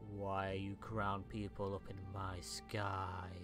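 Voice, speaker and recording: In a put-on character voice, a man speaks at a very slow pace with a fairly low pitch. Loud music plays in the background. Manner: curious, loud.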